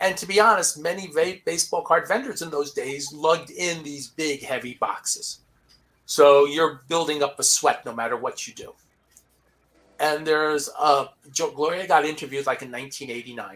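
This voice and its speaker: A man with a plain, everyday voice, fairly high in pitch, with ordinary pitch variation, big swings in loudness and a moderate pace, in a very clean recording over a silent background. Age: 60s. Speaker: sports card collector and live show host. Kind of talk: casual panel chat. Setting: live stream panel.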